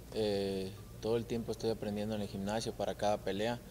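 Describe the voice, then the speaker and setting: Over light background noise, a man with a dark, mellow tone and fairly low pitch speaks at a fairly quick pace with fairly even intonation. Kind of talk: interview answer. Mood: calm, subdued. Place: hall.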